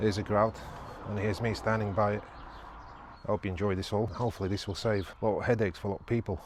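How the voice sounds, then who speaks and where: Over music in the background, a man with a fairly low pitch speaks at a very fast pace in a monotone, flat intonation broken by long, frequent pauses. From Portsmouth, southern England. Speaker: tiler. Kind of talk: tutorial.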